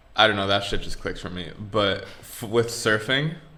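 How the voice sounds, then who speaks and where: A man mumbles at a fairly quick pace. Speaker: podcast co-host. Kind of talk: casual chat. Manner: mumbling.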